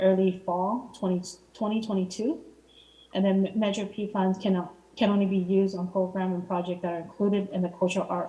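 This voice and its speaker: A woman speaks fairly quickly at a medium pitch, her voice somewhat breathy. Her intonation stays flat and monotone. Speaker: city arts commissioner. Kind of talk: public meeting report. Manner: fast; halting, many fillers.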